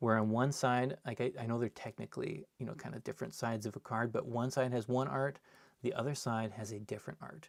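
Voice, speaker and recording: A man talks at a fairly quick pace in a medium pitch. He has a normal speaking voice. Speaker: card collector and seller opening packs. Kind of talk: live stream box opening. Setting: live stream.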